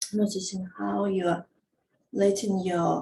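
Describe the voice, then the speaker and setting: In a calm tone, a woman with a non-native accent speaks at a fairly slow pace. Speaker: movement teacher. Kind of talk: guided movement instruction. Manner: slow, calm.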